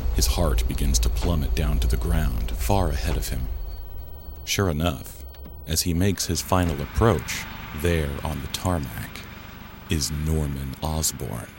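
Music plays in the background. A man with a very deep, low voice speaks in lively intonation. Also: fairly slow pace. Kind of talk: scripted narration.

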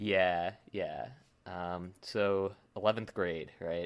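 Very clean recording with a silent background, featuring a man. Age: 20s. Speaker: film podcast co-host. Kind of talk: casual chat.

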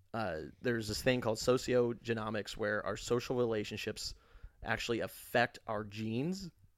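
Heard here is a plain, everyday voice at a moderate pace with ordinary pitch variation. The recording is very clean and the background silent. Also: man, medium pitch for a man. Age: 30s. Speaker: podcast host. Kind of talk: casual chat.

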